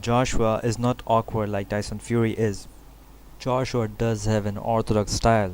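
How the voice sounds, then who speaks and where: A non-native accent with monotone, flat intonation. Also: man. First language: not English. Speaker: boxing YouTuber, fight analyst. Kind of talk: solo commentary video, fight prediction. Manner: halting, with false starts and fillers.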